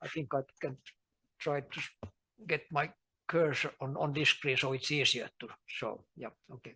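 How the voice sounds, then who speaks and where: A man with a bright, sharp tone speaks with long, frequent pauses. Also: fairly high pitch for a man, ordinary pitch variation, moderate pace, big swings in loudness. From Finland. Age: 70s. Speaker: rhododendron breeder and gardener. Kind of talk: lecture. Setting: talk before a small audience at a garden.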